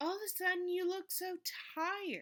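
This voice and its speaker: A woman speaks in a put-on character voice, squeaky and extremely high-pitched. Her intonation stays monotone and flat. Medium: read story. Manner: folksy, plain.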